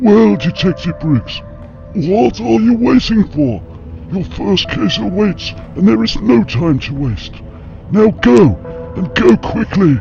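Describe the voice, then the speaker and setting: Over clear background music, a man does a cartoonish character voice at a fairly high pitch and a fairly slow pace. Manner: pompous, formal.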